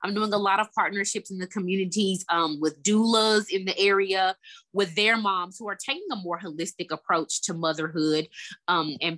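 A woman with a Southern US accent speaks at a medium pitch and a moderate pace, with a bright, sharp tone and ordinary pitch variation, in a dry, close sound with no echo and a quiet background. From Memphis, Tennessee. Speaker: therapist. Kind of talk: interview.

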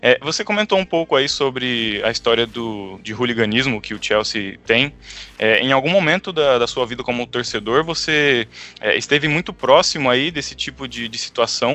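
The pitch is medium and the pace moderate as a man speaks with lively intonation. His is a normal speaking voice. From Brazil. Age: 20s. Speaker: podcast co-host. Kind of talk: casual chat.

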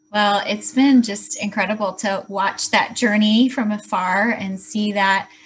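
Somewhat breathy, a woman with an American accent talks at a fairly slow pace, her medium pitch held in fairly even intonation. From Chicago. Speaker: podcast host. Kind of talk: interview.

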